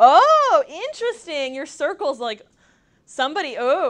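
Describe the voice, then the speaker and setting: A woman talks in an animated tone with an American accent. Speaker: workshop presenter, LinkedIn trainer. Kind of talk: workshop presentation with audience feedback. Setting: room with small live audience. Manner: fast; animated, casual.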